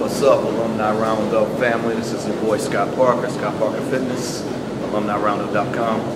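A man's voice amid loud background noise. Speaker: fitness trainer. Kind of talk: casual tutorial vlog. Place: gym. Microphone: phone near.

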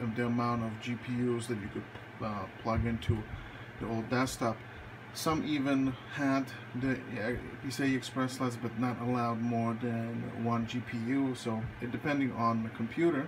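A man speaks at a fairly slow pace in a flat monotone, with long, frequent pauses. Noticeable background noise runs under his voice. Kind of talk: casual tutorial. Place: home room. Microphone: phone near.

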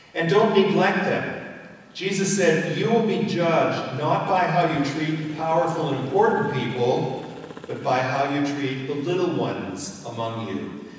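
A man speaking at a fairly slow pace in a strongly echoing room, with light background noise. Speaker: minister preaching. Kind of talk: sermon.

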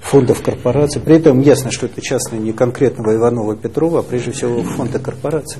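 The speech runs at a very fast pace with hardly any pauses and fairly even intonation, over light background noise. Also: man. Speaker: newspaper editor. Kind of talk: press interview. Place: office.

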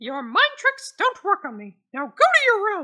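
A woman speaks at an extremely high pitch with very wide pitch swings and big swings in loudness. Her pace is moderate. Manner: exasperated, sarcastic, bossy.

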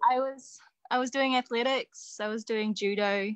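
A woman talks with a New Zealand accent and fairly even intonation. The background is quiet and the sound is dry and close with no echo. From New Zealand (Nelson, Christchurch). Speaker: wrestler and coach. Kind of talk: interview.

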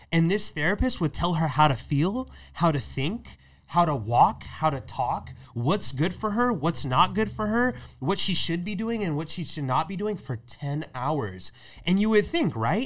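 This man's voice sits high and swings very widely in pitch. Behind him, the background stays quiet. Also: moderate pace. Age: 20s. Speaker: podcast co-host; podcast host. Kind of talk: casual chat. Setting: studio. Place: studio. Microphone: studio mic.

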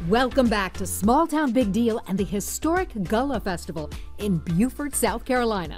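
Over background music, a woman talks at a moderate pace. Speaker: TV show host. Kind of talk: TV travel show narration.

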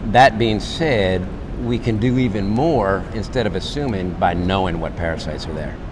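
A man talks at a fairly slow pace with ordinary pitch variation. Noticeable background noise is present. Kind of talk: interview answer. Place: hall. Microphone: lapel.

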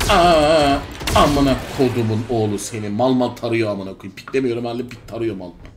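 A man speaks at medium pitch and a moderate pace, with ordinary pitch variation. His loudness swings a lot, and faint music plays in the background. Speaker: gaming streamer. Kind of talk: live gameplay commentary. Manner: animated. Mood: frustrated swearing bursts.

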